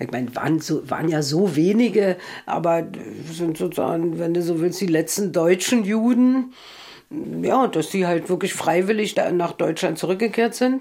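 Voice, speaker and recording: Lively in intonation, a woman talks at a moderate pace in a fairly low voice. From East Berlin. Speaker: author. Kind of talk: interview. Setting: at home.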